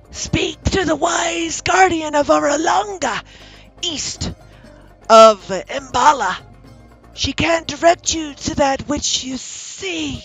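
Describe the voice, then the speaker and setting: Faint music plays in the background as a croaky, high-pitched put-on character voice moves at a very slow pace with lively intonation. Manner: cryptic, strained.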